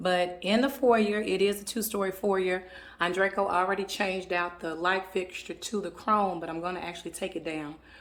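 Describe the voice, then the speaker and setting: A woman keeps a mid-range pitch and rather level intonation, talking at an average speed. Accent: Southern US. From US South. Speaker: home decor vlogger. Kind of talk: home tour vlog. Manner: casual, chatty.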